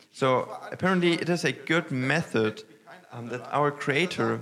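A man with a German accent talks at a fairly slow pace, his intonation lively. Noticeable background noise runs underneath. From northern Germany. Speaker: pastor. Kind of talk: sermon. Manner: halting, many fillers.

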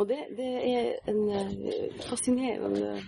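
A woman speaks over noticeable background noise. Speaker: fantasy author. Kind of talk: interview. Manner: halting.

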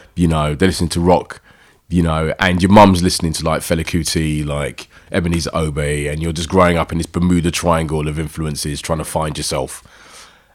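A man with a South London accent speaks at a fairly quick pace. His very deep, low voice keeps a monotone, flat intonation. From South London, East Dulwich/Peckham. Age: 40s. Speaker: running crew founder, DJ and poet. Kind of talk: casual interview chat.

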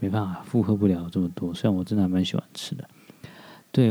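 The tone is dark and mellow, with ordinary pitch variation. The pace is very fast. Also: man. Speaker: podcast host. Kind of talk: casual monologue. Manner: hesitant, many fillers.

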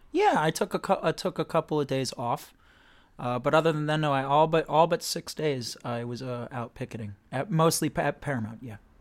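In a very clean recording with a silent background and a dry, close sound with no echo, a man with an American accent speaks at a fairly quick pace, with a fairly high pitch, ordinary pitch variation and an ordinary speaking voice. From Florida. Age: 30s. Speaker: actor. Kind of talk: casual chat.

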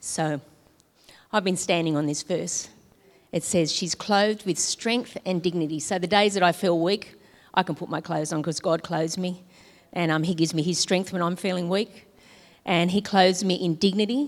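A woman's fairly low voice at a moderate pace with fairly even intonation, a plain, everyday voice. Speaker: church member giving testimony. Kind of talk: testimony.

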